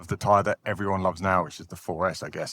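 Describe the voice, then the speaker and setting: Over a very clean recording with a silent background, a man with a fairly low pitch speaks at a very fast pace. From England, Cambridge and North London area. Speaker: tire reviewer and founder of a tire review website. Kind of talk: podcast interview.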